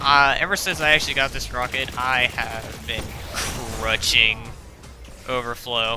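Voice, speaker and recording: A man speaks at medium pitch with music playing in the background. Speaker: video game content creator. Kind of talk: gameplay voice-over commentary. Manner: casual, hesitant, many filler words.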